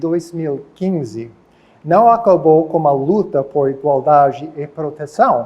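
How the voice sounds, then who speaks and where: A man talks at a very slow pace. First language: English (speaking Portuguese). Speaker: professor. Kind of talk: lecture. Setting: auditorium.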